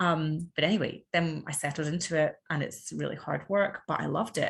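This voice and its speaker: In an Edinburgh accent, the somewhat breathy voice moves at a moderate pace with ordinary pitch variation. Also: woman. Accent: Scottish (Edinburgh). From Scotland, Edinburgh. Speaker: podcast guest, mother. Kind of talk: casual interview chat.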